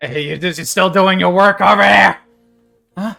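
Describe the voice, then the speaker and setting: A put-on character voice with faint music in the background. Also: man, high pitch for a man, moderate pace. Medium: actual play. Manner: curt, bossy.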